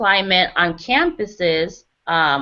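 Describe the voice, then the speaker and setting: This is a woman's voice. She has a Spanish accent. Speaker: graduate student running a focus group. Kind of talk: focus group discussion.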